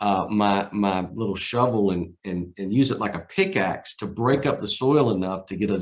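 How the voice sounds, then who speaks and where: Ordinary pitch variation in a man's voice pitched fairly low. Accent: Southside Virginia. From Southside Virginia. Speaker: erosion control practitioner. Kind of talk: conference presentation. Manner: halting, many fillers and repetitions.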